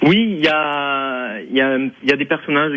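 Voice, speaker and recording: Noticeable background noise accompanies a man speaking in a slight southern French accent with ordinary pitch variation. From southern France, Provence and Ariège. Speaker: mime and clown performer. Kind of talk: radio phone interview. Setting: phone call. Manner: hesitant, many fillers.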